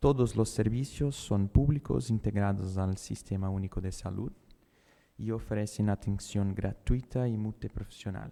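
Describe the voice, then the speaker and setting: Speaking in a Brazilian accent, a man has a fairly low pitch and a dark, mellow tone. He goes at a fairly slow pace with ordinary pitch variation on a very clean recording with a silent background. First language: Portuguese (speaking Spanish). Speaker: neurologist. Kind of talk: conference talk. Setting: conference auditorium, hybrid event.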